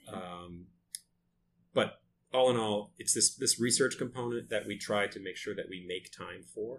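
A man with an American accent and a plain, everyday voice speaks at a fairly low pitch and moderate pace. His intonation is fairly even, while his loudness swings a lot. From US Northeast, Lewiston, Maine. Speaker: architect and designer. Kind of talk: interview. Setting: in person in his office.

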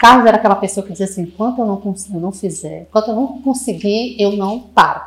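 Speaking at a very fast pace with hardly any pauses, a woman sounds somewhat breathy, her intonation fairly even. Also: medium pitch for a woman. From Brazil, Fortaleza, Ceará. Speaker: marketing manager of a sales consultancy. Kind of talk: podcast interview.

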